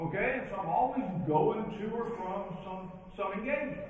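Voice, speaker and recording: Lively intonation carries through strong room echo as the speaker goes at a fairly slow pace. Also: man. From western Kentucky (Princeton, Caldwell County). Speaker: professional speaker and leadership trainer. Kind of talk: keynote speech. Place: hall.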